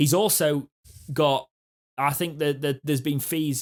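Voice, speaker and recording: A man with a northern English accent, fairly even intonation, and a dry, close sound with no echo. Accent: general northern English. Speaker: football fan podcast co-host. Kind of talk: casual chat.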